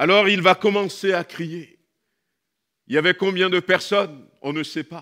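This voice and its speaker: Against a quiet background, a man speaks in a bright, sharp tone with big swings in loudness. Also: fairly slow pace. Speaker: pastor. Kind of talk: sermon. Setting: church. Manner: animated. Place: church. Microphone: headset.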